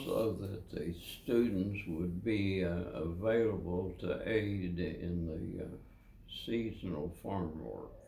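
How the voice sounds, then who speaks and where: A man speaks at a very slow pace in a very deep, low voice with a dark, mellow tone. His voice is somewhat breathy, with fairly even intonation. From Kentucky. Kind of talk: interview answer. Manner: slow, hesitant.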